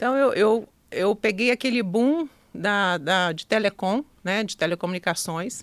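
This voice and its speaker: This speaker has a Minas Gerais accent and ordinary pitch variation. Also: woman. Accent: Minas Gerais (mineiro). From Minas Gerais, Brazil (Zona da Mata). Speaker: entrepreneur. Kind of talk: podcast interview.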